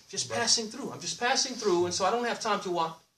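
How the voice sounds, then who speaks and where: Loud and animated, a man talks at a very fast pace with lively intonation. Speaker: Islamic preacher. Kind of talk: sermon. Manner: animated, call-and-response questions.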